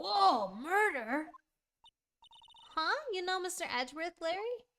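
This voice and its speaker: A woman puts on a character voice pitched extremely high. She talks at a fairly slow pace. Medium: game stream. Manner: eager, lively.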